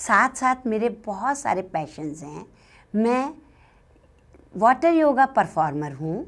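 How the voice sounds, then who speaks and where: On a very clean recording with a silent background, a woman with a fairly high pitch speaks with very wide pitch swings, big swings in loudness, and long, frequent pauses. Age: 60s. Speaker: hospital manager and fitness instructor. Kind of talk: first-person storytelling.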